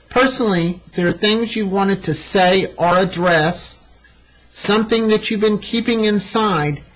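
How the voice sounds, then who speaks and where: Here a woman speaks with an American accent at a medium pitch. Her pace is fairly slow and her pitch variation ordinary. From East Texas. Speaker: astrologer, show host. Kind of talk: astrology forecast talk. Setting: studio.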